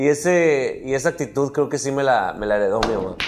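At a fairly quick pace, a man with an ordinary speaking voice talks with lively intonation. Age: 30s. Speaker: comedian. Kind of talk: casual chat.

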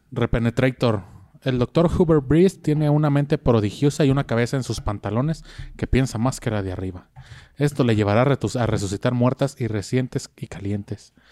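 A man with a Mexican accent talks at a moderate pace, his medium pitch showing ordinary variation and a dark, mellow tone. The sound is dry and close with no echo, on a very clean recording with a silent background. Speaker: podcast host. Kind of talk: reading aloud; casual chat.

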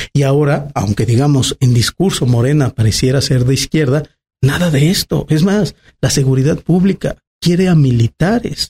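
Somewhat breathy and dark, mellow in tone, a man talks at a moderate pace with a fairly high pitch. His intonation is lively, his loudness very even, and the sound dry and close with no echo. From Mexico, Aguascalientes. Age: 30s. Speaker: politician. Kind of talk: interview. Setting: restaurant.

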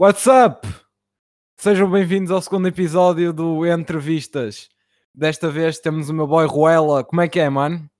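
Recorded very cleanly with a silent background, a man speaks at a fairly slow pace in a fairly high voice with ordinary pitch variation. It is an unremarkable speaking voice. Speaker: podcast host and rapper. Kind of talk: casual interview.

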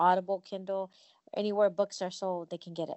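A woman has a plain, everyday voice at medium pitch. Her intonation stays fairly even. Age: 50s. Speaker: company CEO and author. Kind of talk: casual chat.

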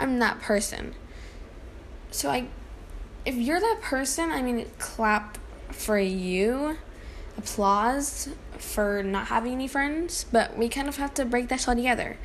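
The talk comes at a fairly slow pace with long, frequent pauses, alongside audible room echo and noticeable background noise. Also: woman, lively intonation. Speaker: solo podcaster. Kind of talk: casual monologue. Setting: at home. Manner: halting, many fillers.

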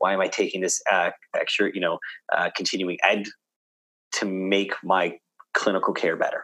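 Recorded with a dry, close sound and no echo, a man with a Canadian accent speaks at a moderate pace with long, frequent pauses. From Canada, Toronto. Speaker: physiotherapist. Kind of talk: casual interview. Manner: halting, many fillers.

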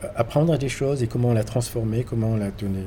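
Somewhat breathy and dark, mellow in tone, the man's voice keeps fairly even intonation. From Morocco. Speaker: painter. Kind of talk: interview. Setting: hotel. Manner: halting.

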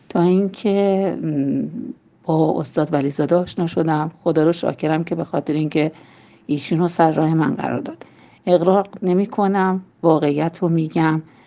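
Her dark, mellow tone and fairly low pitch carry fairly even intonation as this woman speaks at a moderate pace. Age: 50s. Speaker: language student giving a testimonial. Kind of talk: testimony. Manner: halting.

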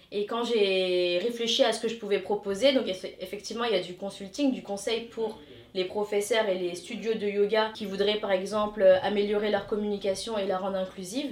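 A woman's medium-pitched voice, with fairly even intonation, comes over noticeable background noise. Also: moderate pace. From Paris suburbs, France (Hauts-de-Seine), Tamil Indian heritage. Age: 30s. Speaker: yoga consultant. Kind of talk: interview.

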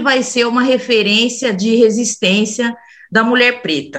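A woman speaks at a very slow pace. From São Bernardo do Campo, São Paulo state, Brazil. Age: 40s. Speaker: podcast co-host. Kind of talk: casual chat.

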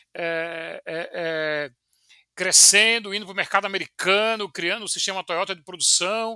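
Speaking at a moderate pace in a raised, projected voice, a man with a high pitch and a bright, sharp tone keeps his intonation fairly even, the sound dry and close with no echo. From Brazil, João Pessoa (Paraíba, Northeast). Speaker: civil engineer and startup founder, former professor. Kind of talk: interview. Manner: hesitant, many filler repetitions.

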